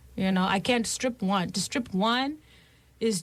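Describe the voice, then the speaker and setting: On a very clean recording with a silent background, a woman's somewhat breathy voice carries ordinary pitch variation. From Zimbabwe. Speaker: musician and scholar. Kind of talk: radio interview. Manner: animated.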